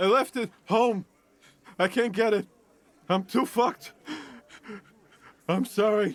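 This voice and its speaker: This man puts on a character voice, high-pitched and wheezy. He goes at a fairly slow pace with long, frequent pauses. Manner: apologetic, distressed.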